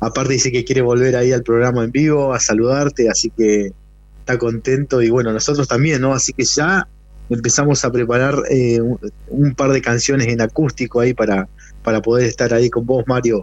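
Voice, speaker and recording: This man has a normal speaking voice at medium pitch, talking at a fairly quick pace. His intonation is fairly even and his loudness very even. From Argentina, Neuquén. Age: 40s. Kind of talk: interview.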